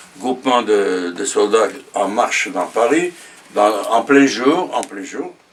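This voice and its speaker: Amid noticeable background noise, a man talks at a very slow pace and medium pitch. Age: 90s. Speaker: war veteran. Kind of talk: testimony. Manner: halting, many hesitations; repetitive, slow.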